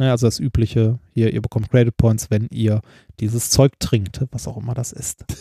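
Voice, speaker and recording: A somewhat breathy, dark, mellow tone at a moderate pace, with fairly even intonation. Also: man, medium pitch for a man. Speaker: doctoral researcher and podcast co-host. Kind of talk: casual chat. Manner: halting.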